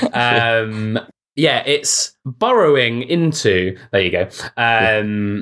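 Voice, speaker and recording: In a very clean recording with a silent background, a man speaks at medium pitch in a bright, sharp tone with ordinary pitch variation. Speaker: social media manager. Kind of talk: casual interview chat.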